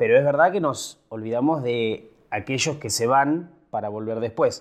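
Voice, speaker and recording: He has an ordinary speaking voice, pitched at a medium level for a man. The male speaker's pace is moderate. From Buenos Aires province, Argentina. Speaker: podcast host. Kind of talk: casual chat.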